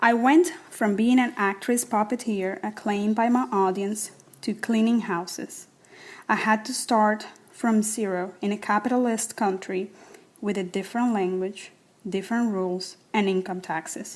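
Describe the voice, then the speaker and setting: Speaking with a Spanish accent, a woman has a fairly high pitch and ordinary pitch variation. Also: moderate pace. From Cuba (Havana). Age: 40s. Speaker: writer and actress reading personal essay. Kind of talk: reading aloud personal essay.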